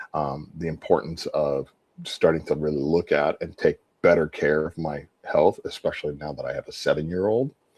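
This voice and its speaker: A man with an American accent speaks at a moderate pace in a dry, close sound with no echo. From Southern California. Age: 60s. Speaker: chef and restaurant owner. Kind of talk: interview, life story. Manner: halting, many repetitions and fillers.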